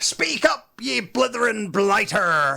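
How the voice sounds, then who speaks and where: A man's high-pitched, gruff, bellowing put-on character voice at a fairly slow pace. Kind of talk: pirate slang. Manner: bellowing, gruff.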